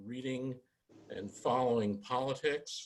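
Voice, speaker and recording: A man at a medium pitch, fairly slow pace, a normal speaking voice. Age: 60s. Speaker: judge, judicial candidate. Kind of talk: candidate forum answer. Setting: virtual forum, video call.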